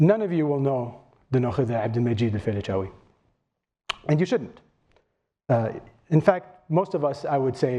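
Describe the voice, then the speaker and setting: With long, frequent pauses, a man talks at a fairly quick pace in a dark, mellow tone. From Kuwait. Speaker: history professor. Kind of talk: lecture.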